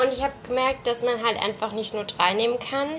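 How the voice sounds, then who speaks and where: A woman is speaking. Her voice sits high in pitch. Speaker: amateur podcaster. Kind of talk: cooking vlog narration. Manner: casual, hesitant with fillers.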